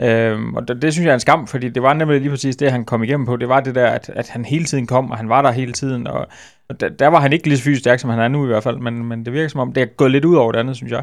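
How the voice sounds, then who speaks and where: A man talks at a very fast pace with hardly any pauses, his pitch medium and his intonation fairly even. The recording is very clean, with a silent background. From West Jutland, Denmark. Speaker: football journalist. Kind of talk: casual chat. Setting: studio.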